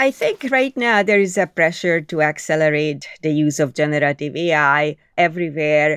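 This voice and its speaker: In a Hungarian accent, a woman speaks at a moderate pace with a very deep, low pitch. The sound is dry and close, with no echo. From Hungary, Budapest. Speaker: AI engineer. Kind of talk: interview.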